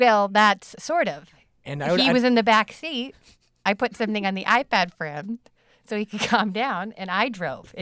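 A woman with a plain, everyday voice speaks at a moderate pace and fairly high pitch, her intonation lively, in a dry, close sound with no echo.

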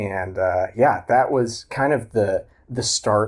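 An American accent from a man, on a very clean recording against a silent background. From Oklahoma. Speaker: coaster photographer and social media content creator. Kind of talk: casual interview.

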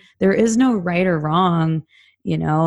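A woman with a Californian accent, at a moderate pace and with ordinary pitch variation. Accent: Californian American English. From Southern California. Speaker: recovering addict sharing her story. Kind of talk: personal testimony interview.

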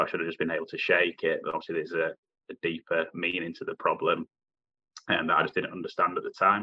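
Though his pace is very fast, this man leaves long, frequent pauses. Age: 20s. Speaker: head chef. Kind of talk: personal testimony interview.

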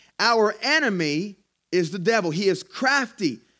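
A man speaks at a fairly slow pace with lively intonation and an animated tone. The recording is very clean, with a silent background. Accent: Southern US. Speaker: pastor. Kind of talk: sermon. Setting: church. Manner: animated, exhortative preaching.

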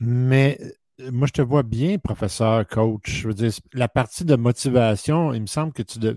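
A man's medium-pitched voice with ordinary pitch variation, dry and close with no echo, in a very clean recording against a silent background. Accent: Quebec. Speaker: podcast host. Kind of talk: interview.

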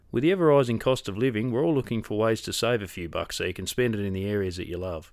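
Over a silent background in a very clean recording, a man with an Australian accent talks at a very fast pace with lively intonation. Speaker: podcast host. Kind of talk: casual interview chat.

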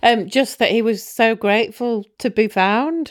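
The speaker has a British accent. The pace is fairly slow. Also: woman. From UK. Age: 40s. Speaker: donor-conceived person searching for her biological father. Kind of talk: interview about personal story.

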